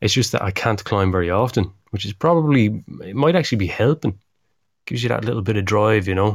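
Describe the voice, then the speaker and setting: A man with an Irish accent talks at a very fast pace, with a fairly low pitch and ordinary pitch variation. The recording is very clean, with a silent background. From Ireland. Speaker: climbing podcast co-host. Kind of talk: casual chat. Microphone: on the better equipment this time.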